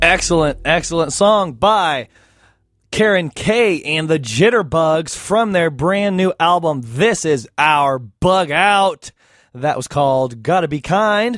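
A man with a high voice speaks very slowly, using lively intonation. The recording is very clean, with a silent background. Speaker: radio host. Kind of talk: radio show hosting. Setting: studio. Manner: halting.

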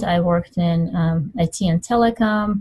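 A somewhat breathy woman's voice, dark and mellow in tone, at a fairly low pitch. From Middle East, Iranian parents. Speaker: life coach. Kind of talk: interview. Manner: halting, many fillers.

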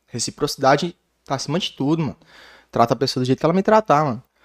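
In a very clean recording with a silent background and a dry, close sound with no echo, a man speaks very fast at a fairly high pitch with ordinary pitch variation. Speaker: rapper. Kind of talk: casual chat.

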